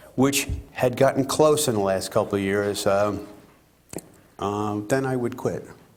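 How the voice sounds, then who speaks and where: Music plays in the background while a man with an American accent speaks at a moderate pace with ordinary pitch variation. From US Northeast, eastern Long Island, New York. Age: 60s. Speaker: race car driver. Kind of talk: interview.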